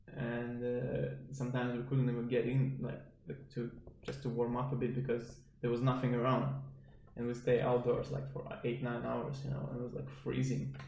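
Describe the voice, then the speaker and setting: At a moderate pace, a man speaks with fairly even intonation amid noticeable background noise and audible room echo. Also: medium pitch for a man. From Estonia. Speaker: podcast guest, judo athlete. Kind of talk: casual chat.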